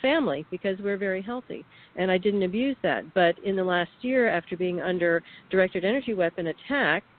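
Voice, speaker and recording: Using a normal speaking voice at a medium pitch, a woman talks at a fairly quick pace with ordinary pitch variation. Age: 60s. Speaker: whistleblower, radio guest. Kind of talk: radio interview testimony.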